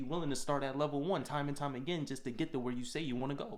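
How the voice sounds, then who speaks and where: With audible room echo, a man of medium pitch talks at a very fast pace in an animated tone. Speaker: motivational vlogger. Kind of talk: motivational monologue.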